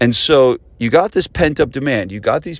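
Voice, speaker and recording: Lively in intonation, a man speaks with an ordinary speaking voice at medium pitch and a moderate pace. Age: 40s. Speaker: podcast host, gym business coach. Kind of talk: casual solo podcast talk.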